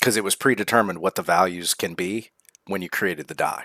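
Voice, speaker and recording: Recorded very cleanly against a silent background, a man with an American accent speaks at a fairly quick pace and a fairly low pitch, his tone bright and sharp and his pitch variation ordinary. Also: dry, close sound with no echo. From Central South Texas. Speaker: atheist commentary co-host. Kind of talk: casual reaction chat.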